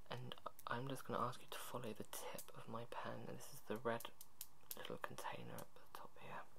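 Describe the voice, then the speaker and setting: A man whispers at a moderate pace. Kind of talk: role-play consultation questions. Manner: soft, hushed ASMR examiner voice. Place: home room. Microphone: webcam.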